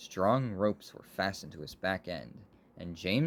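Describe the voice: The clip is plain reading aloud. Nothing more is added to the delivery.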